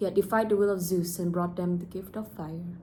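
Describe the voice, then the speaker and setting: A woman with a fairly low, somewhat breathy voice talks at a fairly quick pace with fairly even intonation. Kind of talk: read story. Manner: casual, unpolished reading.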